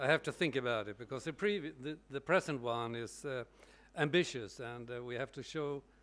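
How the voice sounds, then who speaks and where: A man talks with a non-native accent. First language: not English. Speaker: session chair. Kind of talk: moderating a conference session.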